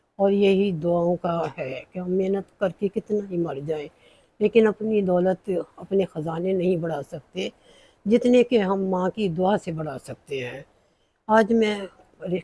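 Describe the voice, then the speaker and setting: A woman speaks in a dark, mellow tone at a fairly low pitch with ordinary pitch variation. The sound is dry and close, with no echo. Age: 70s. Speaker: cooking vlogger. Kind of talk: personal monologue.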